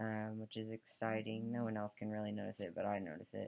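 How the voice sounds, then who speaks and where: Monotone, flat intonation marks a man's fairly low-pitched voice at a fairly quick pace. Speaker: vlogger. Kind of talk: personal video diary. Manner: hesitant, many fillers.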